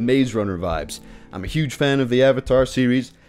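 Upbeat and enthusiastic in tone, a man with an American accent speaks at a fairly quick pace. Faint music plays in the background. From Utah. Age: young. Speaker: video creator. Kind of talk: casual talk to camera. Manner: upbeat, enthusiastic. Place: home room. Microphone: studio mic.

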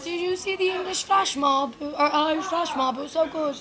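Doing a put-on character voice, a woman speaks at a moderate pace in an extremely high pitch, with clear background noise. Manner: enthusiastic, imitation attempt.

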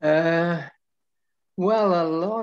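Things are quiet in the background. The man's pitch varies in an ordinary way. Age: 80s+. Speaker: figure skating coach. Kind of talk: interview answer. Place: home room. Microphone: video call.

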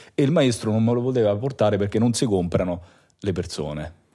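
On a very clean recording with a silent background, a man's fairly low, dark and mellow voice moves at a very fast pace. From Rome, Italy. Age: 30s. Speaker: bass player. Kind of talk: casual chat.

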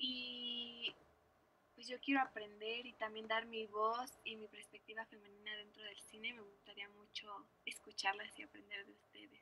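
Bright and sharp with a slightly husky edge, a woman's voice sits at medium pitch. She keeps a moderate pace with little pitch movement.

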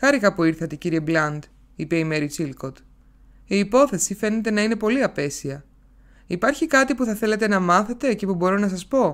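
Speaking at a moderate pace, a woman's medium-pitched voice swings very widely in pitch. The recording is very clean, with a silent background. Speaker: audiobook narrator. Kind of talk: literary audiobook reading. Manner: expressive, shifts tone between characters.

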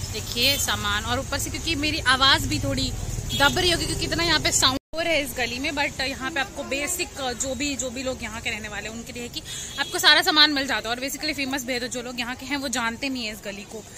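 A woman's raised, projected voice at a fairly quick pace, with crowd noise in the background. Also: ordinary pitch variation, dry sound with no echo. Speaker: vlogger. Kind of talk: casual vlog chat. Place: market. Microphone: phone near.

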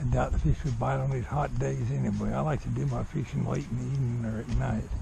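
At a moderate pace, a man speaks at medium pitch with vocal fry.

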